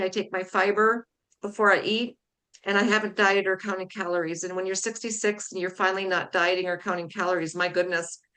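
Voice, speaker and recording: A woman speaks at a fairly quick pace, her pitch in the medium range. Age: 60s. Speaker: wellness product promoter. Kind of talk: casual chat. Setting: livestream video call. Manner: animated.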